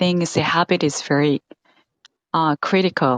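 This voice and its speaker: A woman speaks with a Korean accent at a fairly slow pace. The sound is dry and close, with no echo. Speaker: English teacher and learner. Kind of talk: casual conversation practice. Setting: live stream.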